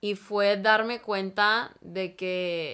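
In a very clean recording with a silent background, a woman at medium pitch speaks in a bright, sharp tone with monotone, flat intonation. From Mexico-Texas border (Piedras Negras / Eagle Pass). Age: 20s. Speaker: social work student. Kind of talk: casual interview.

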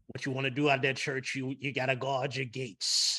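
Putting on a character voice, a man speaks fairly quickly at a medium pitch with monotone, flat intonation. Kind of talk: preaching, sermon-like.

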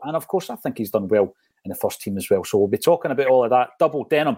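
A Scottish accent in a very clean recording with a silent background and a dry, close sound with no echo. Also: man. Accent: Scottish (Fife). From Scotland, Fife. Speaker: football podcast host. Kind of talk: casual chat.

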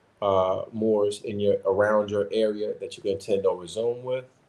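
An ordinary speaking voice: a man with an American accent and a fairly low pitch. He talks at a moderate pace with fairly even intonation over a quiet background. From US Midwest (Chicago). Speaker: religious community organizer and advocate. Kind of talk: interview on a call-in podcast.

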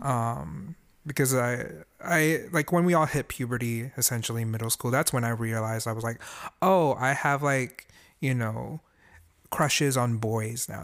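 At a moderate pace and with ordinary pitch variation, the voice comes through a very clean recording over a silent background. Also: man. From Singapore, moved to US at 10. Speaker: musician and voice actor. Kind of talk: casual chat.

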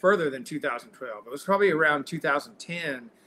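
Talking at a fairly slow pace, a man with a Texan accent has a fairly high pitch, a bright, sharp tone and ordinary pitch variation. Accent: Texan Southern US. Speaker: singer-songwriter. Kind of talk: casual interview chat. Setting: video call. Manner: halting.

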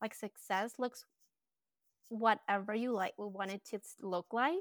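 A woman with a Colombian accent speaks at a medium pitch and a moderate pace, with fairly even intonation. The recording is very clean with a silent background, and the sound is dry and close with no echo. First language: Spanish. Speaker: branding and design business owner. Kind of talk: casual interview chat.

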